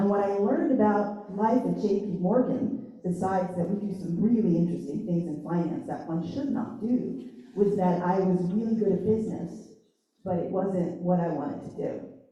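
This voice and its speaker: Over noticeable background noise and audible room echo, a woman with an American accent talks at a moderate pace, her medium pitch showing ordinary variation. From Long Island, New York. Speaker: designer, agency founder. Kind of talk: career panel talk. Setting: panel event with audience. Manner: animated.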